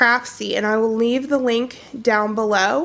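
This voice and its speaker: Her pitch is high. A woman speaks over noticeable background noise. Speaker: cross-stitch hobbyist. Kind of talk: casual talk to camera.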